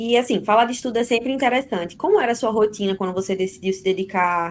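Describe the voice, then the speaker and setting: A woman with a normal speaking voice, ordinary pitch variation and a fairly quick pace. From Brazil, Recife. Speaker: interviewer, co-founder of exam prep company. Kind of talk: interview.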